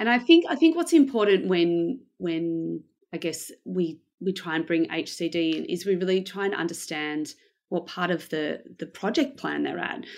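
A woman with an Australian accent against a quiet background. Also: moderate pace. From Australia, Melbourne. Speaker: head of design operations at a bank. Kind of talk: interview.

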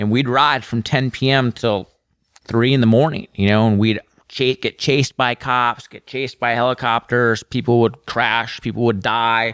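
This man has a plain, everyday voice of medium pitch, with an American accent and a moderate pace. The recording is very clean with a silent background, and the sound is dry and close with no echo. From Minnesota, US Midwest. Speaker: motorcycle journalist. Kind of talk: casual chat.

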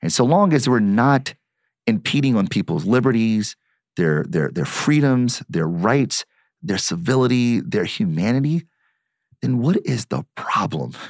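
Over music in the background, a man with a Midwestern American accent speaks at a fairly slow pace, his medium pitch moving in very wide swings. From Detroit, US Midwest. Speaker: marketing professor and author. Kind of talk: interview conversation.

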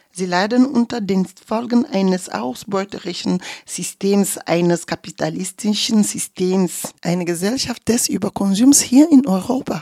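Lively intonation shapes a dark, mellow tone that moves at a fairly slow pace with hardly any pauses. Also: woman, medium pitch for a woman, dry, close sound with no echo. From Togo, grew up in Kanté. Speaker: radio journalist. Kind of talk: interview statement.

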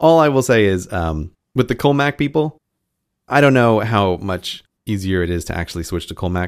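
A man with an American accent and a fairly low pitch talks at a moderate pace with very wide pitch swings, on a very clean recording with a silent background. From United States. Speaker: podcast co-host, former teacher. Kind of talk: casual chat.

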